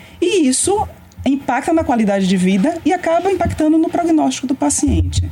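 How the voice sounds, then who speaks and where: Over noticeable background noise, a woman speaks at a fairly quick pace and a high pitch. Her pitch swings very widely while her loudness stays very even. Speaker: radiation oncologist. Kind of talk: interview.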